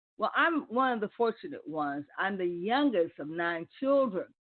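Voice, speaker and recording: The woman has an unremarkable speaking voice of medium pitch. She talks fairly slowly with lively intonation. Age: 60s. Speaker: internet radio talk show host. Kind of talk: live call-in radio talk. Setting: live internet radio broadcast.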